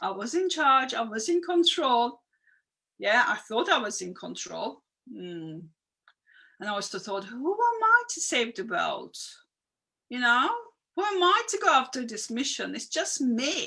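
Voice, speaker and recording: A woman with a non-native accent, high in pitch and bright and sharp in tone, at a fairly slow pace with very wide pitch swings, big swings in loudness, and long, frequent pauses. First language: not English. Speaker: spiritual coach. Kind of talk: live stream talk. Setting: live video stream. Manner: conversational, reacting to viewer comments.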